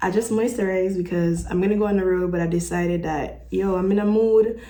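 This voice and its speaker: With a Jamaican accent and a medium pitch, a woman speaks at a very fast pace amid audible room echo. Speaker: vlogger. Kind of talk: casual vlog talk. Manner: animated.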